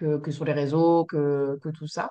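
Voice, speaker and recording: In a very deep, low pitch, a woman speaks with monotone, flat intonation. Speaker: somato-emotional therapist. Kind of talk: casual chat. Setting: video call. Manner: halting.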